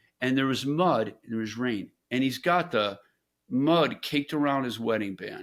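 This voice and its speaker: Ordinary pitch variation marks this speech, which goes at a moderate pace. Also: man, medium pitch for a man. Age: 60s. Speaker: entrepreneur. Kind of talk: interview storytelling. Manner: animated.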